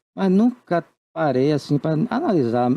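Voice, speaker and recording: Over a dry, close sound with no echo, a man talks at a fairly slow pace with lively intonation and a dark, mellow tone. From Brazil, Salvador, Bahia. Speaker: writer and actor. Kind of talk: TV interview. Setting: TV studio.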